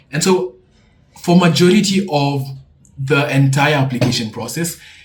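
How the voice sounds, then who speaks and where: Speech comes at a fairly slow pace with ordinary pitch variation. Noticeable background noise is present. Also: man. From Kenya. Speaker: student YouTuber. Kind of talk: tutorial. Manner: casual.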